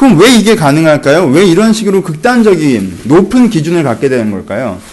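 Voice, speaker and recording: Fairly high in pitch and swinging very widely, a man's voice moves at a fairly quick pace. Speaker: pastor. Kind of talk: Bible study teaching. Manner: animated.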